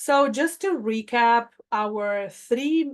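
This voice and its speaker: Over a quiet background, a woman speaks with a Spanish accent. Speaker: health plan staff presenter. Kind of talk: webinar presentation.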